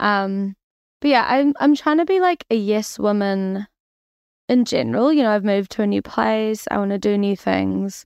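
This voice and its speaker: With a New Zealand accent, a woman speaks at a moderate pace and medium pitch, her intonation lively and her loudness very even. The sound is dry and close with no echo, over a quiet background. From New Zealand, Auckland. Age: 20s. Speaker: dating show contestant. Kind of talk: casual chat.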